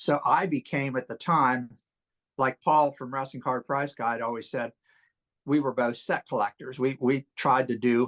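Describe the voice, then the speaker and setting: This is an ordinary speaking voice at a fairly slow pace. The background is quiet. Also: man, medium pitch for a man, dry, close sound with no echo. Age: 60s. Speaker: wrestling card collector. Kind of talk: casual interview.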